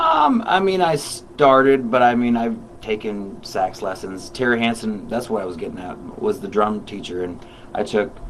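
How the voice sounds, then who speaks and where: Noticeable background noise and audible room echo accompany a man speaking at a moderate pace. His pitch sits at a medium level with lively intonation. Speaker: musician. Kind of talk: casual chat. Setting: radio studio.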